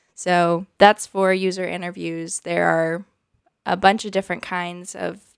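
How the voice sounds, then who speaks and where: In a very clean recording with a silent background and a dry, close sound with no echo, a woman with a normal speaking voice talks fairly slowly at a medium pitch. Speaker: UX researcher. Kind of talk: casual chat.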